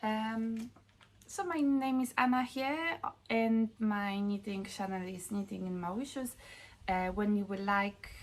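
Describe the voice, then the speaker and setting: A woman talks at a fairly slow pace in a strong Polish accent. Her voice is somewhat breathy. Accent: Polish, Eastern European, strong. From Poland. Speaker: knitting vlogger. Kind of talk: casual vlog talk. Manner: halting, many fillers. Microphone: lower quality recording, no new camera yet.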